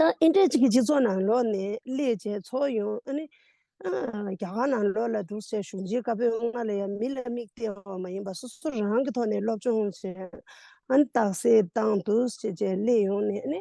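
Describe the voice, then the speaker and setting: In a dry, close recording with no echo, a woman speaks in an unremarkable speaking voice, fairly high-pitched, with ordinary pitch variation. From Tibet. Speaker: Buddhist nun and scholar. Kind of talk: interview.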